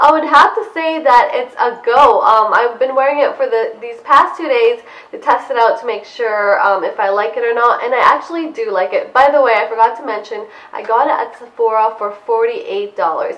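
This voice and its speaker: A woman's high voice at a moderate pace, with ordinary pitch variation, hardly any pauses and noticeable background noise. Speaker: beauty vlogger. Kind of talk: product review vlog. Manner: casual, chatty.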